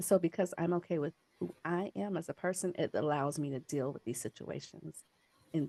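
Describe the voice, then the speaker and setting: A woman speaks at a moderate pace with a fairly low pitch and vocal fry. The sound is dry and close with no echo, and her pitch varies in an ordinary way. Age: 40s. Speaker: adoptee presenter. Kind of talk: conference presentation.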